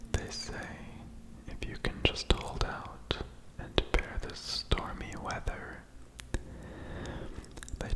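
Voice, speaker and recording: A man whispers in a soothing tone at a very slow pace. Noticeable background noise sits behind him. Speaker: ASMR creator. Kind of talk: poetry reading. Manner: whispered, soothing.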